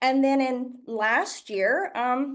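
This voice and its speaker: A woman speaks with a slight Southern US accent. The background is quiet. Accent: slight Southern US twang. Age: 30s. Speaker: product trainer. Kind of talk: product training presentation. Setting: stage with audience.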